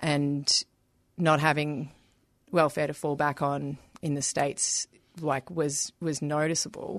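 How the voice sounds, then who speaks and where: In a dry, close sound with no echo against a quiet background, a woman with an Australian accent speaks at a very deep, low pitch, fairly slowly and with monotone, flat intonation and long, frequent pauses. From Melbourne, Australia. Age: 30s. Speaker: activist. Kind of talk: interview. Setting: radio studio.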